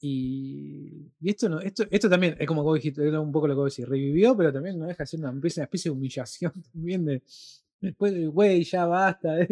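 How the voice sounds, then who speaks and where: A man with a Rioplatense accent speaks fairly quickly at a fairly high pitch, with ordinary pitch variation. His tone is dark and mellow, and the sound is dry and close with no echo. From Argentina. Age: 30s. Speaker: podcast co-host and film reviewer. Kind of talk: casual chat.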